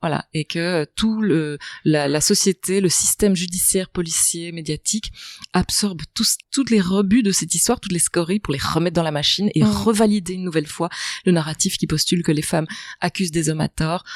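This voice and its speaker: A woman's fairly low voice at a fairly quick pace, ordinary in pitch variation, with a dry, close sound and no echo. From Belgium, province between Brussels and Charleroi. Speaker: author, journalist and film director. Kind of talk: podcast interview answer. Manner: articulate, literary phrasing.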